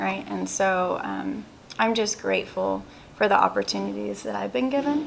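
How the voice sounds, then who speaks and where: Noticeable background noise runs through the clip. A woman speaks at a fairly quick pace. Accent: American. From Texas, Houston. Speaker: insurance agency owner. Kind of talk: interview.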